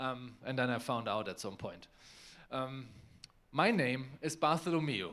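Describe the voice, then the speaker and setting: With a German accent and a bright, sharp tone, a man speaks at a medium pitch with ordinary pitch variation. His pace is fairly slow, with long, frequent pauses. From Germany, Bavaria. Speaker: novelist.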